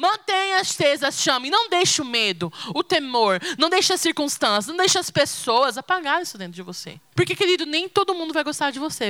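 The speaker uses a raised, projected voice at a fairly quick pace, with very wide pitch swings over noticeable background noise. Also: woman. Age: 20s. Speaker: preacher. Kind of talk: sermon.

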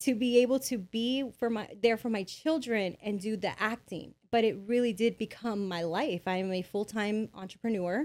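This is an unremarkable speaking voice: a woman with an American accent and fairly high pitch. She keeps a moderate pace with hardly any pauses and ordinary pitch variation. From Bell, California (Los Angeles area). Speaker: business consultant. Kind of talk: interview.

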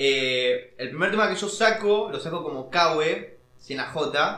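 A man speaks with lively intonation amid audible room echo and noticeable background noise. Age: 20s. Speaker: rapper. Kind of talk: casual chat.

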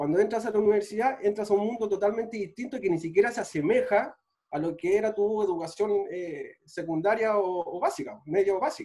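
Speaking fairly quickly with hardly any pauses, a man with a Chilean accent uses lively intonation in a high voice. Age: 30s. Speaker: physical trainer and sports physiotherapist. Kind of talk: casual chat.

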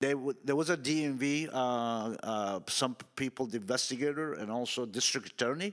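It's a plain, everyday voice with ordinary pitch variation and hardly any pauses. The recording is very clean, with a silent background. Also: man, medium pitch for a man, moderate pace. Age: 60s. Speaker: car dealership employee. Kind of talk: casual chat.

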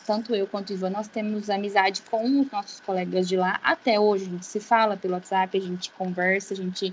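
A woman speaks at medium pitch in a monotone, flat way. Her pace is fairly quick, with hardly any pauses. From São Paulo state interior, Brazil. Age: 20s. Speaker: physiotherapist. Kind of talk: casual chat.

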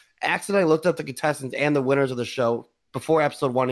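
Captured in a very clean recording with a silent background, a man talks at a very fast pace. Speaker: podcast host. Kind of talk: casual banter podcast. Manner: joking, banter.

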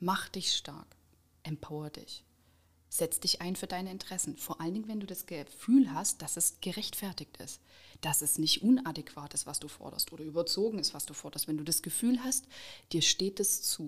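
A woman talks at a moderate pace with a medium pitch, lively intonation, a somewhat breathy sound and big swings in loudness. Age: 30s. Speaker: trade union organizer. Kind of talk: interview.

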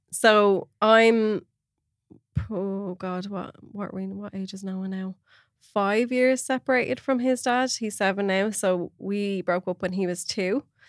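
A woman's medium-pitched voice at a fairly slow pace, fairly even in intonation, with big swings in loudness, dry and close with no echo, on a very clean recording with a silent background. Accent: Irish. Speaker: podcast host. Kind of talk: casual chat.

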